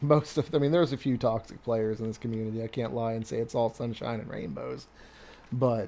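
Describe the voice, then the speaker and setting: The voice has a relaxed, dark, mellow tone and moves at a fairly quick pace. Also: man. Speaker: gaming live streamer. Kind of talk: casual chat. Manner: relaxed, conversational with many fillers.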